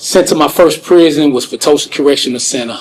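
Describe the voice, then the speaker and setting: With an American accent and a plain, everyday voice, a man speaks fairly quickly at a medium pitch with ordinary pitch variation. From St. Louis, Missouri, US. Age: 40s. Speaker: wrongfully convicted prisoner. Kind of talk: interview testimony. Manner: conversational, frequent fillers.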